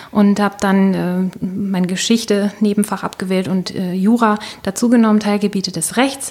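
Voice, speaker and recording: A woman speaks at a medium pitch with fairly even intonation. It is a normal speaking voice. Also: moderate pace. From northern Germany, Baltic coast. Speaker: corporate communications worker and coach. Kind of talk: interview.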